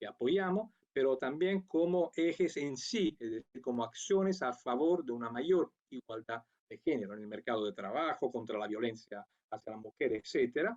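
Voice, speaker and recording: A man's medium-pitched voice in an Italian accent with very wide pitch swings, at a moderate pace, in a dry, close sound with no echo. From Italy. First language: Italian (speaking Spanish). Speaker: international program coordinator. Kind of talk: conference talk. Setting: remote video link.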